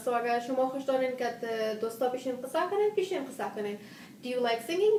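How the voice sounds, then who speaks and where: Speaking very fast in a high voice, a woman is heard with audible room echo and noticeable background noise. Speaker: mental health educator. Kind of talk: live stream Q&A, English and Dari. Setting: live video stream. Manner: loud; hyper, animated.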